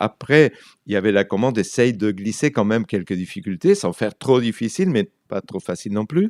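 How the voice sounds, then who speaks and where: With a Spanish accent, a man speaks at a fairly quick pace and fairly low pitch, the sound dry and close with no echo. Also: lively intonation. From Argentina. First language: Spanish (speaking French). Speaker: writer and translator. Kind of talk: radio interview. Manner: halting, many repetitions.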